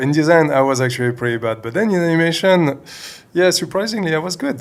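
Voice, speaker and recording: Someone with a French accent talks at a very fast pace with lively intonation. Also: man, fairly high pitch for a man. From France. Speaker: CG animator. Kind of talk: interview. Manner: hesitant, many fillers.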